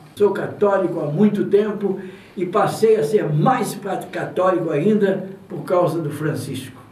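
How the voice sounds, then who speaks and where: Fairly slow speech with ordinary pitch variation, audible room echo and noticeable background noise. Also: man. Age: 80s+. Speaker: radio announcer. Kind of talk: interview.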